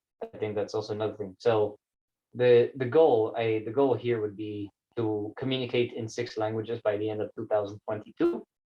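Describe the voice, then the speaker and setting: With a Spanish accent, the somewhat breathy voice moves at a moderate pace. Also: man. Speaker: vlogger. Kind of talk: personal vlog monologue. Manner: casual, halting with many fillers.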